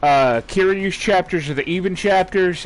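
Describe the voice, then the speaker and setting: Loud and animated, a man with a high voice speaks at a moderate pace with ordinary pitch variation. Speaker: gaming streamer. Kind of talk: live gameplay stream chat. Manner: casual, animated.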